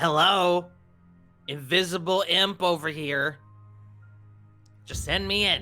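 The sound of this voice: Using a raspy, put-on character voice at a high pitch, a man speaks at a fairly slow pace with long, frequent pauses over faint music in the background.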